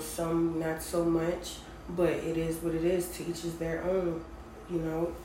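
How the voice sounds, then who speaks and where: A woman speaks very slowly at a fairly low pitch in a flat monotone. Room echo and noticeable background noise come through. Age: 20s. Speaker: podcast host. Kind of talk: casual personal monologue.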